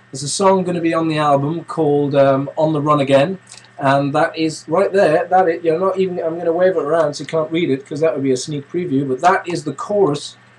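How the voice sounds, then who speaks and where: Noticeable background noise sits under the voice. The delivery is fairly quick, and the pitch varies in an ordinary way. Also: man. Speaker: vlogger and music composer. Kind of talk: casual webcam vlog. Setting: home studio, webcam. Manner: hesitant, many fillers.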